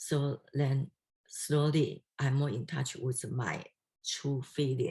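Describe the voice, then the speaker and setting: A woman speaks very slowly with a Chinese accent, her pitch very deep and low. Her tone is dark, mellow and somewhat breathy, with monotone, flat intonation. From Taiwan or China (Chinese-speaking). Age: 60s. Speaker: doctoral candidate. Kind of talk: dissertation defense Q&A. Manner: halting.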